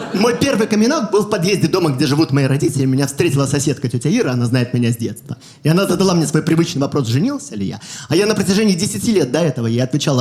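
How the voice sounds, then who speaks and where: Very fast and with lively intonation, a man speaks in a dark, mellow tone that is somewhat breathy. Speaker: stand-up comedian. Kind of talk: stand-up.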